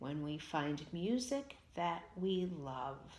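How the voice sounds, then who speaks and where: A woman does a put-on character voice at a very slow pace, her fairly low pitch swinging very widely. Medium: read story.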